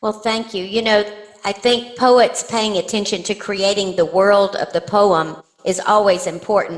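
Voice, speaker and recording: A woman with an East Texas accent, a medium pitch, fairly even intonation and a fairly slow pace. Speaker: poet. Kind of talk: interview. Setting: podcast.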